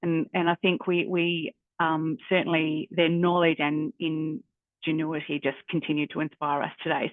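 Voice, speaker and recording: In an Australian accent, a woman speaks at a moderate pace with a fairly low pitch. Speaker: university careers adviser. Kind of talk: workshop facilitation. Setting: video call. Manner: hesitant, many fillers.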